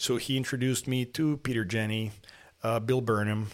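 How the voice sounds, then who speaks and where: In a Spanish accent, a man speaks at a moderate pace and a medium pitch with fairly even intonation. The recording is very clean, with a silent background. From Mexico, partly raised in Lima, Peru. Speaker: falconer and plastic surgeon. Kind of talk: interview. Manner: halting, many repetitions.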